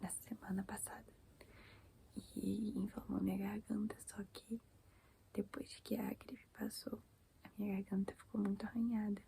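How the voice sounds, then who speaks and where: Soft-spoken and monotone, a woman talks fairly slowly at medium pitch in a dark, mellow tone with vocal fry and flat intonation. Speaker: ASMR creator. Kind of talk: casual chat.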